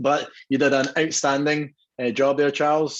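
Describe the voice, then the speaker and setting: Against a quiet background, a man with a Scottish accent speaks at a fairly high pitch. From Scotland, Dumbarton near Glasgow. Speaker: whisky brand co-owner. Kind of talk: guest talk at online tasting. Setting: video call.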